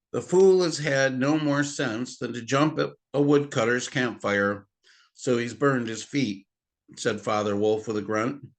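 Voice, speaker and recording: Against a quiet background, a man with an ordinary speaking voice talks fairly slowly, his medium pitch showing ordinary variation. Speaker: grandfather reading aloud to children. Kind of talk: audiobook-style reading of a novel aloud.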